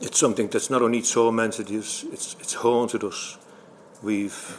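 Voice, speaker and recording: Noticeable background noise sits behind a man speaking in a Liverpool accent at a moderate pace. His medium-pitched voice is monotone and flat. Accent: Scouse (Liverpool). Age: 70s. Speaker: bereaved brother and campaigner. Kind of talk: testimony. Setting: parliamentary committee hearing. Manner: halting.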